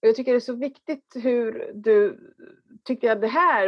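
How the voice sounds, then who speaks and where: A fairly high-voiced woman with an Italian accent, lively intonation and a moderate pace. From Italy. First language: Italian (speaking Swedish). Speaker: workshop participant. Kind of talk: audience question.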